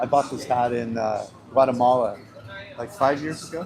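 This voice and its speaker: Noticeable background noise surrounds a man talking at a moderate pace. His medium pitch stays fairly even in intonation. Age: 60s. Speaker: travel vlogger. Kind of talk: casual chat.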